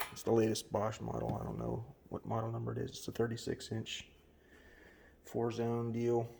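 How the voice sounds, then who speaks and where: A man whispers. He leaves long, frequent pauses. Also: moderate pace. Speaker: home brewer. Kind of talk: tutorial. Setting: home kitchen. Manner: whispering, low talking; halting, many fillers.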